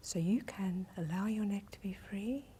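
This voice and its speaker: A soft-spoken woman talks in a calm, gentle tone that is dark and mellow. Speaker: Alexander technique teacher. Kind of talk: one-on-one instructional lesson. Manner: very soft-spoken, calm, gentle.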